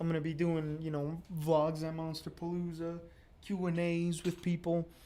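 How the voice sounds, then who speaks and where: A man's fairly high-pitched voice against noticeable background noise. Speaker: sculptor and YouTuber. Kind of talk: live stream chat while sculpting. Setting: live stream at home studio. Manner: monotone; hesitant, many fillers.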